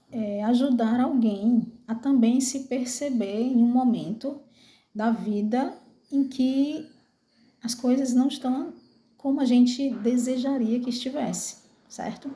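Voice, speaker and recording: A woman's high-pitched voice with a dark, mellow tone, fairly even intonation and a very slow pace, with audible room echo. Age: 40s. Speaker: vlogger. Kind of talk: personal testimony. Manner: halting, many fillers.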